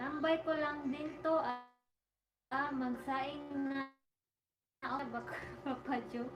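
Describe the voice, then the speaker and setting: Over background music and audible room echo, a high-voiced woman speaks very slowly in a monotone, flat intonation, with long, frequent pauses. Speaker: live streamer. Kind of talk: casual livestream chat. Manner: chatty, informal.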